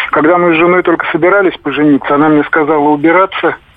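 With noticeable background noise behind him, a man speaks at a fairly high pitch with fairly even intonation. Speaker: caller; widower. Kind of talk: phone-in call. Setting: phone call.

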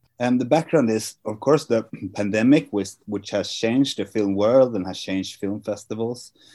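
On a very clean recording with a silent background, a man speaks in a Swedish accent, his tone dark and mellow at medium pitch, with ordinary pitch variation and a moderate pace. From Sweden. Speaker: film festival artistic director. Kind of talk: interview.

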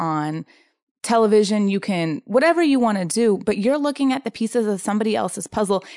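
A woman speaks with a Californian accent and lively intonation at a fairly quick pace. The background is quiet. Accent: Californian American. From Southern California, San Diego. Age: 30s. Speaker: intuitive coach and energy healer. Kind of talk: casual interview chat.

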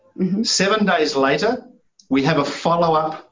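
A man with a New Zealand accent. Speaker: sales strategist. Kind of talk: interview.

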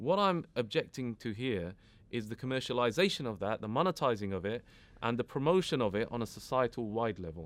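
A man with a British accent and lively intonation, in a very clean recording with a silent background. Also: medium pitch for a man, fairly quick pace. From UK. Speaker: educationalist and community activist. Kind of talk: interview.

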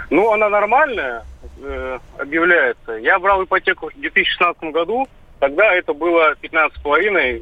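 A high-pitched male voice with lively intonation. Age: 30s. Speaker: radio caller. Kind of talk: call-in question.

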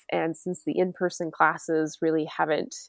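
A woman's ordinary speaking voice, fairly low in pitch, with an American accent, fairly even intonation and a moderate pace, in a very clean recording with a silent background and a dry, close sound with no echo. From New York. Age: 40s. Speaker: hunter and forager. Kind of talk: casual chat.

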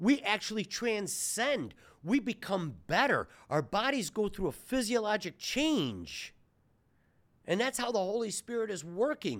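An animated man's voice, high in pitch with lively intonation, at a fairly slow pace in a very clean recording with a silent background. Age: 60s. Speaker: surgeon and health podcast host. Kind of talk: angry rant, preachy and passionate, mixing faith and health. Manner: loud and fired up, emphatic.

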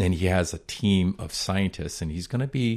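This man has an American accent and a very deep, low pitch. He talks at a fairly slow pace. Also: very clean recording, silent background. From US Northeast (Boston). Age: 60s. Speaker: yoga studio co-owner and breathwork teacher. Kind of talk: casual interview conversation.

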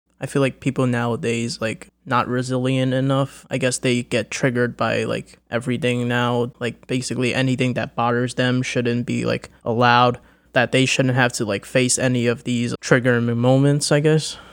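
Over a silent background in a very clean recording, a man speaks at a moderate pace with monotone, flat intonation. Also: medium pitch for a man, hardly any pauses. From US, Chinese-American family. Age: 20s. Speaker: recent college graduate sharing mental health experience. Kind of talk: interview. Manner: halting, many fillers.

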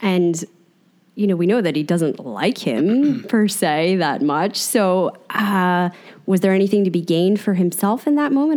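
In a very clean recording with a silent background, a woman with an American accent and an ordinary speaking voice talks at a moderate pace, her medium pitch carried by lively intonation. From New Jersey. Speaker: podcast co-host. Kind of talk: casual chat; scripted intro.

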